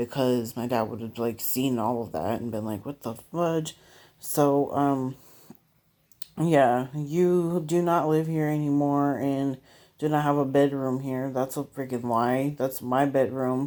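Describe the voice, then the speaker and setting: A woman speaks very slowly in a very deep, low voice, her intonation fairly even. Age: 20s. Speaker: vlogger. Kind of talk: personal rant vlog. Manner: hesitant, many fillers.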